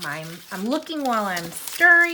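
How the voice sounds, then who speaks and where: A woman talks in an animated tone with very wide pitch swings. Noticeable background noise and audible room echo surround her. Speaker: coloring YouTuber. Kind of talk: casual chat. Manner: fast.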